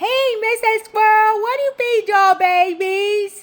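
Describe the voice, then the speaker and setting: Using a put-on character voice that sounds female, the speaker talks at a fairly slow pace, squeaky and at an extremely high pitch for a woman. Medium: read story. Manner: cheerful, inquisitive.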